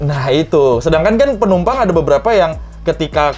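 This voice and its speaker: Music plays behind a man talking at a fairly quick pace. His intonation is lively. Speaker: airline pilot. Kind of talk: casual talk to camera.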